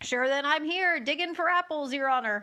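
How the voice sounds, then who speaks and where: A woman's put-on character voice, high-pitched, at a moderate pace. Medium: read story. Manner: deferential, says "sure" and "your honor".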